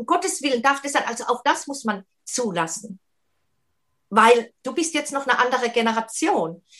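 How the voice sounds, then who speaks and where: A woman speaks at a moderate pace with lively intonation. Her tone is bright and sharp. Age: 50s. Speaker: single and relationship coach. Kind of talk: casual chat.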